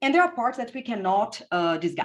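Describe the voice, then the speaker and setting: Woman with a strong Brazilian accent and very wide pitch swings. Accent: heavy Brazilian Portuguese. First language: Portuguese. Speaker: physicist and physics education researcher. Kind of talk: conference presentation. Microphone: unreliable internet connection.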